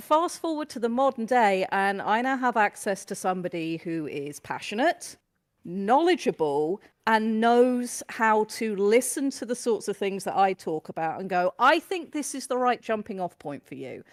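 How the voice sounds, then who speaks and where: Heard in a British accent, the speech moves at a moderate pace with very wide pitch swings and big swings in loudness, in a dry, close sound with no echo. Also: woman, fairly high pitch for a woman, very clean recording, silent background. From UK. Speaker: new wrestling fan. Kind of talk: casual podcast chat.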